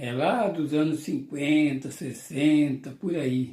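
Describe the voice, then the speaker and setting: At a very slow pace, a man talks with a fairly high pitch and a dark, mellow tone. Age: 70s. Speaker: YouTuber. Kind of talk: nostalgic casual monologue to camera.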